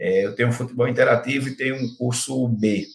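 In a medium pitch, a man delivers his words with monotone, flat intonation. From Pernambuco, Brazil (interior). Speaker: football performance analyst. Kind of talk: podcast interview. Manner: halting, many repetitions and fillers.

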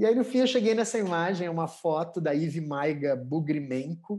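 At a moderate pace, a man speaks with a fairly high pitch and a dark, mellow tone. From southern Brazil, Porto Alegre. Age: 40s. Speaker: art curator and DJ. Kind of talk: casual interview. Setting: video call.

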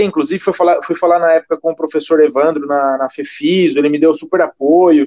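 A man's high-pitched voice, dry and close with no echo. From Brazil, Sorocaba (São Paulo state). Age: 20s. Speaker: gym chain regional manager, physical education professional. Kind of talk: casual interview. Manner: hesitant, many filler words.

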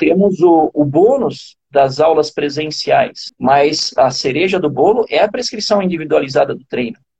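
This man's dark, mellow voice sits high in pitch, moving at a fairly slow pace with lively intonation. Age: 40s. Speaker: running coach. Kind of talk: interview. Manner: halting, frequent repetitions.

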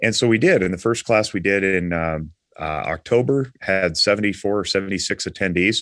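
Against a quiet background, a man with an American accent speaks at a moderate pace in a fairly low pitch with ordinary pitch variation, an unremarkable speaking voice. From Nevada. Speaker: marriage and family counselor. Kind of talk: casual interview.

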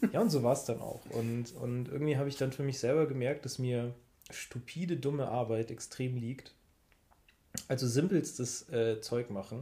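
Somewhat breathy and dark, mellow in tone, a man's medium-pitched voice moves at a moderate pace with ordinary pitch variation. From Munich, Bavaria. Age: 30s. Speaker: podcast co-host. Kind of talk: casual chat.

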